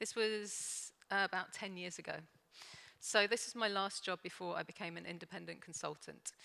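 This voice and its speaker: Her tone bright and sharp, a woman talks at a fairly quick pace. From London, England. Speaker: organisational consultant, conference speaker. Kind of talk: conference talk. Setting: stage with audience.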